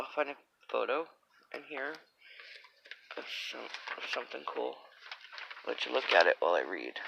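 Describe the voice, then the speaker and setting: Moderate pace with noticeable background noise. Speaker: vlogger. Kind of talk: casual chat; reading aloud. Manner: animated; halting.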